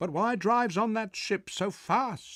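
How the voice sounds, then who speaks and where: A man uses a put-on character voice pitched high. He talks at a fairly slow pace. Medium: read story. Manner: stern, probing.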